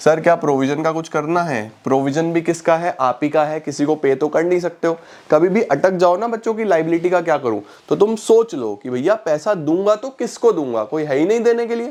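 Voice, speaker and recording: Here a man talks with a high pitch and lively intonation. His pace is moderate. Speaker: online commerce teacher. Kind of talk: tutorial. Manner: conversational, explaining.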